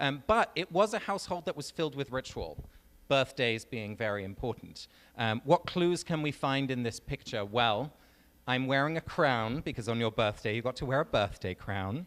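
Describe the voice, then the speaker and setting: Speaking in an English accent, a man has a medium pitch and lively intonation. His pace is moderate. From England. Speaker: author and speaker. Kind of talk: talk to a live audience. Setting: stage with audience. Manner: conversational, many fillers.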